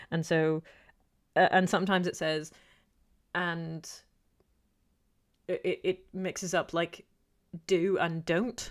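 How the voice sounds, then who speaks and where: Speaking very slowly with long, frequent pauses, a woman uses a fairly low voice and flat, monotone intonation, on a very clean recording with a silent background. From UK. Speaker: YouTuber. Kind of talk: livestream Q&A chat. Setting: livestream. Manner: hesitant, many fillers.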